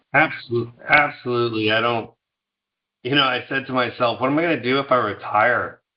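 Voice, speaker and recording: A man with an American accent and a plain, everyday voice speaks fairly quickly at a medium pitch with fairly even intonation. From US Northeast, New York suburbs. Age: 50s. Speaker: food company founder. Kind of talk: interview.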